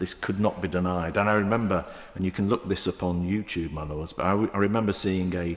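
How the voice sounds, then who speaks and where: This man speaks with a Manchester accent. His pitch is very deep and low, with ordinary pitch variation. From south Manchester, England. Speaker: member of the House of Lords. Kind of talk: parliamentary debate speech. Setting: House of Lords chamber. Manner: halting, many fillers.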